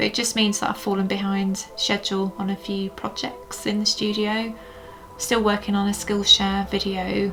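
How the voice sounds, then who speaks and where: Over music in the background, the voice moves at a moderate pace with fairly even intonation. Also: woman, medium pitch for a woman. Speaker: polymer clay sculptor, YouTuber. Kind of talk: casual chat while working. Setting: home studio. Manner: halting, many fillers.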